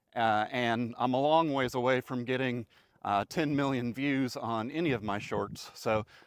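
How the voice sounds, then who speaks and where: Dry, close male voice with no echo, medium in pitch and fairly even in intonation, on a very clean recording with a silent background. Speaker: retiree vlogger. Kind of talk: informal vlog monologue. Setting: outdoors on a country road. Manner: monotone; halting, many fillers.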